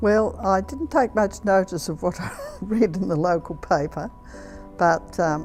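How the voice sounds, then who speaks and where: Music plays in the background as a woman speaks. She has an Australian accent and a fairly slow pace. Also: medium pitch for a woman. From Australia, Victoria. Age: 80s+. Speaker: retired nurse. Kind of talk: interview answer.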